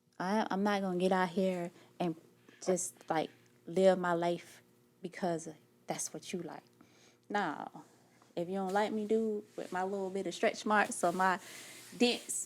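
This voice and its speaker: A woman at medium pitch speaks in an animated tone. Her pace is fairly slow, with long, frequent pauses. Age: 40s. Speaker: life coach. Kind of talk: podcast interview.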